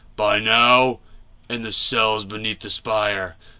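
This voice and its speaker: A man uses a raspy, growling, put-on character voice at a medium pitch, monotone and flat. He goes at a fairly slow pace against a quiet background. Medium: read story. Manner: terse, gruff.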